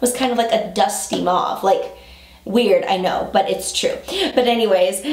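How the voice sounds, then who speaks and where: Audible room echo follows a woman as she speaks at a moderate pace. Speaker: style vlogger. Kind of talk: casual haul chat. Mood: cheerful, enthusiastic. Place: home room.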